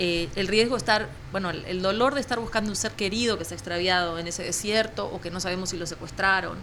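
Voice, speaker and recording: In a room with audible echo, a woman speaks very fast at a medium pitch. Her tone is bright and sharp, with ordinary pitch variation. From Uruguay. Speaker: journalist. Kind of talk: interview conversation.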